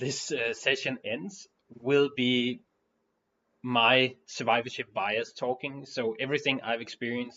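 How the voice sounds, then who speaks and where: A man's medium-pitched voice at a fairly slow pace. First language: not English. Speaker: board game designer. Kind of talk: tutorial. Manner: halting, many fillers.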